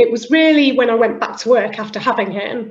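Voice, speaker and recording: A woman with a British accent, at a fairly quick pace. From northern England, Liverpool. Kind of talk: interview conversation.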